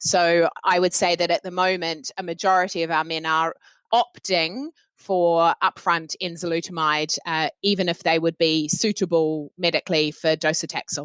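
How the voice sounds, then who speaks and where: A woman's fairly low voice with a New Zealand accent and fairly even intonation, in a very clean recording with a silent background and a dry, close sound with no echo. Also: moderate pace. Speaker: oncologist. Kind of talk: panel discussion.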